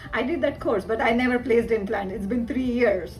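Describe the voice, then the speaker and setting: Fairly even intonation over music in the background, with audible room echo. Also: woman. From India. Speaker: dentist. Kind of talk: testimonial interview. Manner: halting, many fillers.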